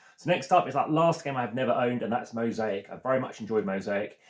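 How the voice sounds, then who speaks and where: A man at a very fast pace, medium in pitch with ordinary pitch variation. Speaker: board game video creator. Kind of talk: solo video commentary.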